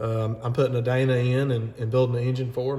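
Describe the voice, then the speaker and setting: Fairly quick speech in a Southern US accent, with noticeable background noise. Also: man. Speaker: mechanic. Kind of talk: tutorial; casual chat. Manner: rambling, talkative.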